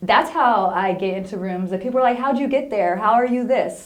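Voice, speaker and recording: A fairly high-pitched woman with an American accent and lively intonation at a fairly quick pace, with audible room echo and noticeable background noise. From Inland Empire, Southern California. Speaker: wellness coach and therapist. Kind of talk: interview.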